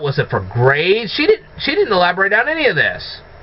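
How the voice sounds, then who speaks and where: The pitch swings very widely, with noticeable background noise behind it. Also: man. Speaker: movie reviewer. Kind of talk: casual talk to camera.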